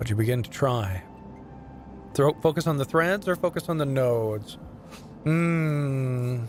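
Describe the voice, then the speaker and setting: Over music in the background, a man with a medium pitch speaks at a fairly slow pace with lively intonation and long, frequent pauses. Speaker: voice actor. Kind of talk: narration of in-game text, read aloud. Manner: measured, atmospheric narration.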